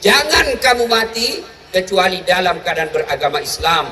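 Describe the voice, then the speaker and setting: Over noticeable background noise, a man with an extremely high pitch uses a raised, projected voice with lively intonation at a fairly slow pace. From Makassar, Indonesia. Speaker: Islamic preacher. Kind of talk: humorous religious sermon to a large crowd. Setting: outdoors, mosque courtyard PA. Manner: lively, energetic, joking.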